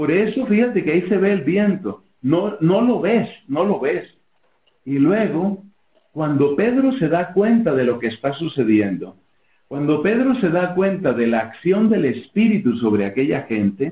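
Room echo can be heard around the voice. The man delivers his words at a fairly slow pace. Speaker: interview guest. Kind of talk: interview answer, preaching style. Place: home room. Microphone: video call.

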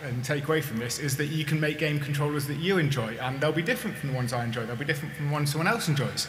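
Very fast pace amid light background noise and audible room echo. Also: man. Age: 40s. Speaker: maker giving a conference talk; conference speaker. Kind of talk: conference talk. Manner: hesitant, with many fillers. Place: hall. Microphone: podium.

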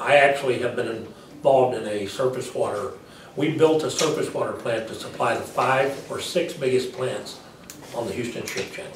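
With an American accent, a man speaks at a moderate pace and with ordinary pitch variation, amid light background noise and audible room echo. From Texas. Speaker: political candidate. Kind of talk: interview. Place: meeting room. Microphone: camera far.

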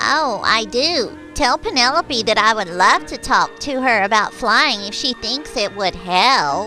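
A cartoonish character voice, fairly high and fairly slow, over clear music in the background. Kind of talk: children's show dialogue. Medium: puppet show. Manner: warm, friendly. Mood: warm, helpful.

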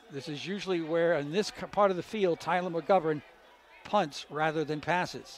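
A man speaks at a fairly high pitch. Light background noise is present. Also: dry sound with no echo. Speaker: radio play-by-play announcer. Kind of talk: live sports commentary. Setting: stadium broadcast booth.

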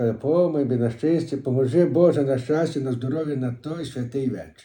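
A man with a western Ukrainian accent, medium pitch and a dark, mellow tone. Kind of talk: dialect interview answer. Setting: home recording.

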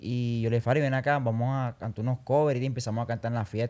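A man speaks at a very fast pace. The background is quiet. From Colombia, Barranquilla; Colombia. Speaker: urban music singer; podcast guest. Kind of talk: casual interview chat. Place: studio. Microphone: studio mic.

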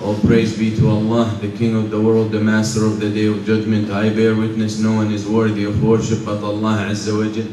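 Over light background noise and audible room echo, a man speaks fairly quickly at a fairly low pitch with monotone, flat intonation. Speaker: preacher. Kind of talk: sermon. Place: church.

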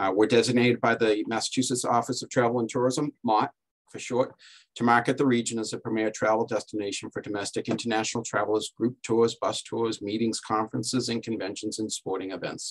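Against a quiet background, a man talks at a very fast pace with monotone, flat intonation. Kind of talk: presentation talk in a webinar. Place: office. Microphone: video call.

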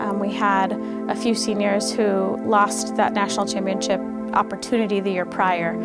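Speech at a moderate pace over loud music in the background. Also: woman. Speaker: bowling coach. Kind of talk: interview answer. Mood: reflective, proud. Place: office.

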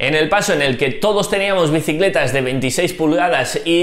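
Audible room echo surrounds a man talking at a fairly slow pace with ordinary pitch variation. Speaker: cycling youtuber. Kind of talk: tutorial. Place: home room. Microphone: lapel.

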